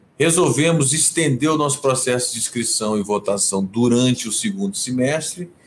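With lively intonation and hardly any pauses, a man talks over noticeable background noise. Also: medium pitch for a man, moderate pace. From Rio de Janeiro, Brazil, then Brasília from age 12. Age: 50s. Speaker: cultural manager, music awards founder. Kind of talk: interview on livestream. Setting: home office, video livestream. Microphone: possible echo from same home.

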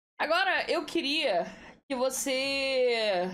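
A woman's voice with audible room echo. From Rio de Janeiro state, Brazil. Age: 30s. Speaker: podcast host. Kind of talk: casual interview.

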